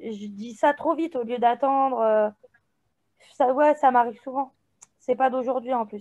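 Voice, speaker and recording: This woman has a high pitch and a dark, mellow tone, speaking at a fairly slow pace with long, frequent pauses. Her intonation stays fairly even while her loudness swings widely. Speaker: group participant, mother. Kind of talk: group coaching session.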